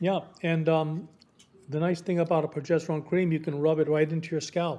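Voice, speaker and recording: A man speaks at a fairly quick pace in a fairly high pitch for a man, his dark, mellow tone delivered with monotone, flat intonation. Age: 60s. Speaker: medical doctor, psychiatrist. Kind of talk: radio interview. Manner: halting, with frequent repetitions.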